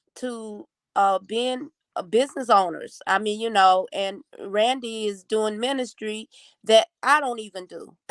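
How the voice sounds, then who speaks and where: Over a quiet background, a woman with an ordinary speaking voice and a fairly high pitch shows big swings in loudness, in a dry, close sound with no echo. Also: ordinary pitch variation. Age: 60s. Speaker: evangelist talk show host. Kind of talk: interview. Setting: live stream.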